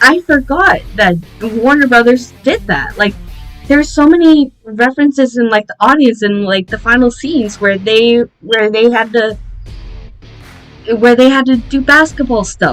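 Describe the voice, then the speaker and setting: Moderate pace and ordinary pitch variation, with music in the background. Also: woman, high pitch for a woman. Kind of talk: casual movie review to camera. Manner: off-script, frequent stuttering.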